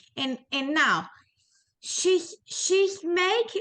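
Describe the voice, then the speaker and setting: With a strong Spanish accent, a woman speaks at a very slow pace. Her tone is bright and sharp, and her intonation is lively. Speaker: small business owner, student. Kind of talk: class discussion. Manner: halting.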